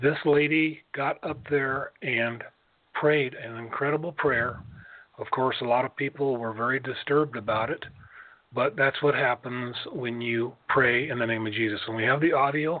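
Using a plain, everyday voice, a man speaks at a moderate pace with medium pitch and fairly even intonation. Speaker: pastor. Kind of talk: intercessory prayer.

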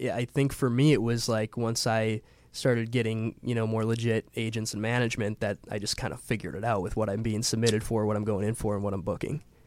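This man has an American accent and a normal speaking voice. He talks at a fairly quick pace with medium pitch. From Wisconsin, Milwaukee. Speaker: actor and musician. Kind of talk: casual interview chat.

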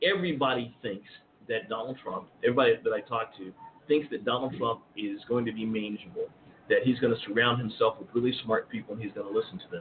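A man at medium pitch, fairly quick pace and lively intonation, against noticeable background noise. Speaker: political commentator. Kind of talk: panel discussion.

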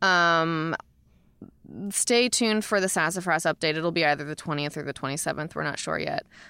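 A woman with an American accent, fairly low in pitch, bright and sharp in tone, ordinary pitch variation, fairly quick pace, on a very clean recording with a silent background. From Florida. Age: 30s. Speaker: stripper and pole dance instructor. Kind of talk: casual chat. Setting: studio.

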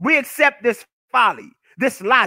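A man speaks at a moderate pace in an extremely high pitch. His tone is animated. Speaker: political commentary livestreamer. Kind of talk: solo livestream monologue. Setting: live stream. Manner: loud; animated, with frequent repetitions.

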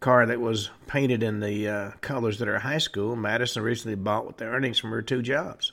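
In a deadpan tone, a man talks at a fairly quick pace with a medium pitch, a bright, sharp tone, and fairly even intonation. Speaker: radio show host. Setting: studio. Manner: matter-of-fact, deadpan with occasional wry asides.

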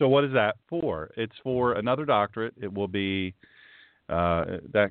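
A man speaks in a normal speaking voice. His pitch is fairly low, with ordinary variation. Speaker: radio show host. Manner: rambling, conversational.

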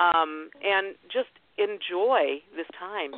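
Her fairly low voice swings very widely in pitch as the woman speaks. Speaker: radio show host. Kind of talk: casual chat.

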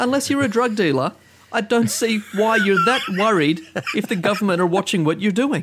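This man speaks with an Australian accent at a high pitch. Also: lively intonation, moderate pace. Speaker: podcast host. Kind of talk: casual chat.

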